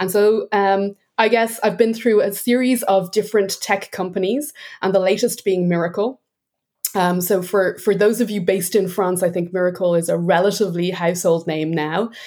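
With an Irish accent, a woman talks with fairly even intonation. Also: medium pitch for a woman, moderate pace. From Ireland. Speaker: sales enablement executive. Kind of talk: interview conversation.

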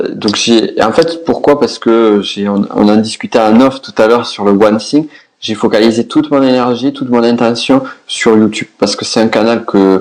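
Over noticeable background noise, a man with a southwestern French accent talks at a moderate pace with fairly even intonation. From southwest France. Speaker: business coach. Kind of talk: podcast interview.

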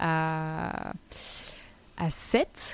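A woman speaks in a soft-spoken way. The recording is very clean with a silent background. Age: 20s. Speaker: model and wellness coach. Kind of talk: casual interview.

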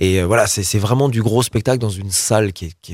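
Fairly low in pitch, a man with an unremarkable speaking voice talks at a fairly quick pace with ordinary pitch variation, in a very clean recording with a silent background. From France, Loire (Roanne area). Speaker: pop rock singer and cabaret owner. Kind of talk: interview.

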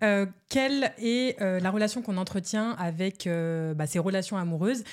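Here a woman with an unremarkable speaking voice talks at a medium pitch and a fairly slow pace, on a very clean recording with a silent background. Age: 20s. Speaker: podcast host. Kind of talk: casual chat.

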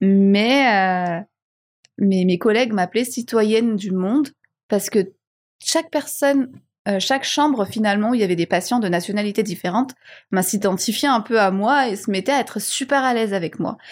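A normal speaking voice from a woman, fairly high in pitch, at a moderate pace, on a very clean recording with a silent background. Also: ordinary pitch variation. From Madagascar. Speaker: marketing and communication director. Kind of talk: interview conversation.

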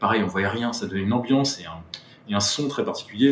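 A man speaks fairly quickly while noticeable noise sits in the background. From Brittany, France (Quimper, Finistère). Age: 30s. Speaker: former film student, retail worker. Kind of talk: casual interview, personal testimony. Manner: hesitant, many fillers and repetitions.

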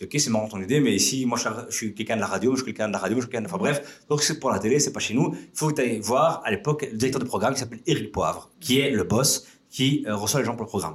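The voice is energetic and somewhat breathy, moving at a very fast pace with ordinary pitch variation. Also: man, medium pitch for a man. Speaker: entrepreneur. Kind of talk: casual chat. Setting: office studio. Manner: energetic, fast.

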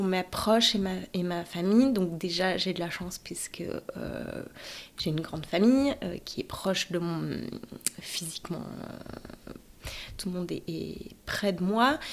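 A medium-pitched woman's voice at a fairly slow pace, with long, frequent pauses, ordinary pitch variation and noticeable background noise. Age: 30s. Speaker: stroke survivor, radiology technician, mother. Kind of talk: personal testimony. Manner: halting, many hesitations.

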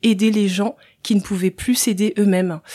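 Her intonation stays monotone and flat as a woman speaks. The sound is dry and close with no echo, on a very clean recording with a silent background. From Central African Republic, then France from age 8. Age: 30s. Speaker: social entrepreneur, former nurse. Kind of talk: podcast interview.

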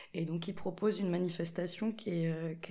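A woman speaks at a fairly slow pace with a dark, mellow tone. Her pitch is fairly low and her intonation fairly even. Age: 20s. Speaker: linocut printmaker. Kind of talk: casual chat. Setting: in-person recording in an echoey room.

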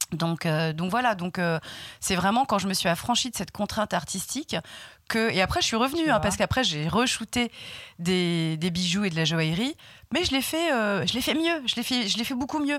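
At a moderate pace, a woman with a medium-pitched voice makes very wide pitch swings while keeping her loudness very even. The recording is very clean, with a silent background. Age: 40s. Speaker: shop owner and magazine founder. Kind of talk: interview. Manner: hesitant, many fillers and repetitions.

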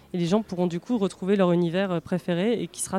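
Dark and mellow in tone, a woman speaks at a fairly quick pace with fairly even intonation in a dry, close sound with no echo. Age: 30s. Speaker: marketing and communications director at a board game publisher. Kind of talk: interview.

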